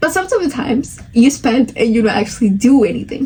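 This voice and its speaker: A woman speaks at a fairly high pitch and moderate pace with lively intonation. Noticeable background noise is heard. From Spanish-speaking country, moved at eight. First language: Spanish. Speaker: podcast host. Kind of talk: casual chat. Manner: animated.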